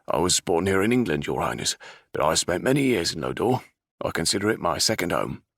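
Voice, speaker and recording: A man's gruff, put-on character voice, very deep and low, racing at a very fast pace with very wide pitch swings. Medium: read story.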